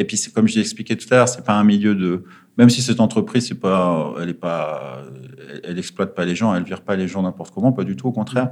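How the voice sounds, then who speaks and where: Talking at a very fast pace, a man keeps a fairly low pitch with ordinary pitch variation. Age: 30s. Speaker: former finance trader turned charity worker. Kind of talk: interview. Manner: halting, many fillers.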